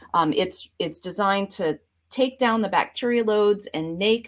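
On a very clean recording with a silent background, a woman with an ordinary speaking voice talks at a fairly slow pace with ordinary pitch variation. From Vermont, US Northeast. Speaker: professor. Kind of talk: interview.

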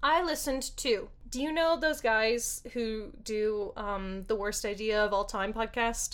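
Speaking at a fairly slow pace, a woman has a fairly high pitch and ordinary pitch variation. She has an unremarkable speaking voice and hardly any pauses. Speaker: podcast co-host. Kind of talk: casual chat, movie review podcast.

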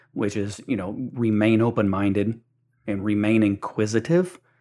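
An ordinary speaking voice from a man, fairly low-pitched and fairly even in intonation at a moderate pace, on a very clean recording with a silent background. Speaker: podcast host. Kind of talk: interview podcast, conversational.

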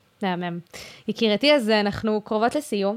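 In a plain, everyday voice, this woman keeps to a medium pitch and a moderate pace. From Israel, Haifa Krayot. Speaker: student podcast host. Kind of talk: interview.

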